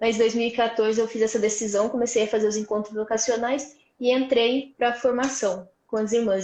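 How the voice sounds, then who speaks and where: Flat, monotone intonation at a moderate pace. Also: woman. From Brazil, Vale do Paraíba (São Paulo state). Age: 20s. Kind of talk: testimony. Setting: live stream.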